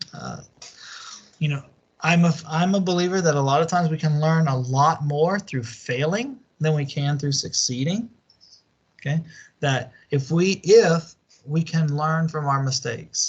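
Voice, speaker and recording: A man with a Southern US accent speaks fairly slowly at a fairly high pitch. His pitch varies in an ordinary way, and he takes long, frequent pauses. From US Deep South. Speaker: university lecturer. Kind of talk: online lecture. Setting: online class video call. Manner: halting, many fillers.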